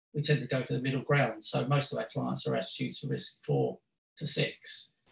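Audible room echo surrounds the recording. A man speaks at a moderate pace. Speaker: guest lecturer. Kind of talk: lecture. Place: meeting room. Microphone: video call.

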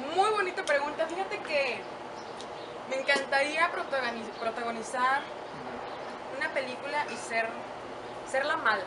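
Over loud background noise, a woman talks at a fairly slow pace with long, frequent pauses. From Mexico, San Luis Potosí. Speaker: radio host, TV presenter and actress. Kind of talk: casual interview. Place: garden.

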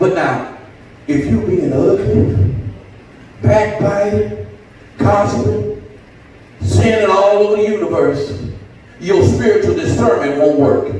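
A man talks at a very slow pace, leaving long, frequent pauses. Strong room echo surrounds him over light background noise. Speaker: pastor. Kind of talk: sermon. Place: church. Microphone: camera far.

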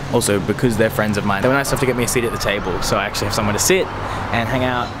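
A man rattles off his words very fast while music plays behind him. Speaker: wedding photographer vlogger. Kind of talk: casual vlog chat. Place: hall. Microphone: phone near.

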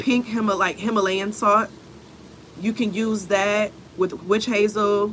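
Light background noise is present. A woman talks over it. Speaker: spiritual reader. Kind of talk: live stream spiritual message. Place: street. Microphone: phone near.

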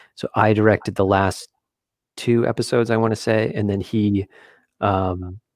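Over a quiet background with dry sound and no echo, a man talks at a moderate pace with a fairly low pitch and fairly even intonation. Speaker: concept artist and art director; interview guest. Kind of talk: casual interview. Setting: video call. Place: home room. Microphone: headset.

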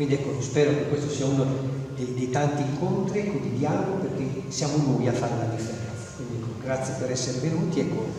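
At a fairly quick pace, a man speaks with ordinary pitch variation, strong room echo and light background noise. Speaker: school principal. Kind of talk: welcome speech. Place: hall. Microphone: camera far.

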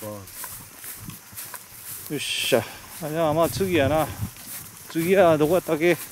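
A man with a Kagoshima accent talks at a moderate pace in a fairly high pitch, with ordinary pitch variation and long, frequent pauses, over light background noise in a dry recording with no echo. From Kagoshima, Japan. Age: old. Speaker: local guide walking tour. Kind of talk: casual talk while walking. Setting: outdoors. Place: open country. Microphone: phone near.

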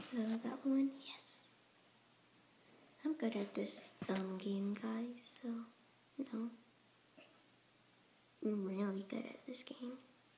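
A woman with a fairly high pitch and ordinary pitch variation is heard over noticeable background noise. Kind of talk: casual gameplay commentary. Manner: upbeat, excitable.

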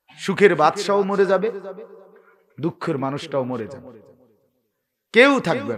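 The man's voice sits high and swings very widely in pitch, with big jumps in loudness. His tone is animated. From Bangladesh, Cumilla town. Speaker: Islamic preacher. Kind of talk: sermon. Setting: open-air religious gathering under a marquee with audience.

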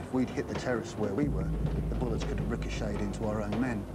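Music plays clearly in the background as a man talks at a very fast pace. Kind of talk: interview answer. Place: home room.

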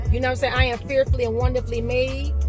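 Over music in the background, a woman talks at a very fast pace in a dry sound with no echo. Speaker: motivational vlogger. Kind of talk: casual vlog chat. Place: car. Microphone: phone near.

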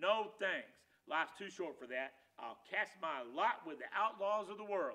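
A natural read-aloud voice with the usual rise and fall in pitch

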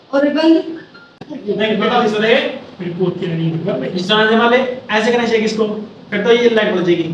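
A high-pitched man speaks at a moderate pace with ordinary pitch variation. Audible room echo and light background noise are present. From Haryana, India. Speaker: vlogger. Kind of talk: casual vlog, phone feature demo. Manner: casual, chatty. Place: home room. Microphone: phone near.

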